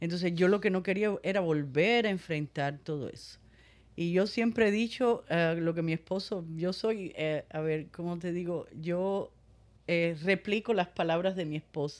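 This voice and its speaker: Someone with a normal speaking voice talks at a fairly slow pace, with ordinary pitch variation. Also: woman, fairly low pitch for a woman. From Cuba. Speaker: breast cancer survivor. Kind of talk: testimony.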